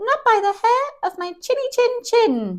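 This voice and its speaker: Speaking fairly slowly, a woman adopts a squeaky put-on character voice pitched extremely high. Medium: read story.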